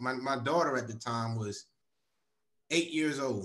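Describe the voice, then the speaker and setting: A man's fairly quick speech carries ordinary pitch variation, with a quiet background behind him. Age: 50s. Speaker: military racquetball federation co-founder, veteran advocate; guest. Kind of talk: interview. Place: home room. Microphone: video call.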